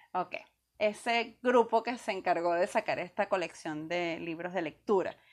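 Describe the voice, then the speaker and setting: In a normal speaking voice of medium pitch, a woman talks at a fairly slow pace with ordinary pitch variation, on a very clean recording with a silent background. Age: under 58. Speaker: podcast co-host. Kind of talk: casual chat.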